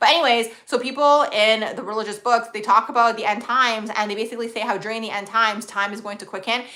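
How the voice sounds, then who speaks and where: A woman's fairly high voice at a very fast pace with hardly any pauses, fairly even intonation and big swings in loudness, plus audible room echo and noticeable background noise. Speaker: astrologer livestream host. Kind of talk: live stream Q&A, casual chat. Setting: live stream.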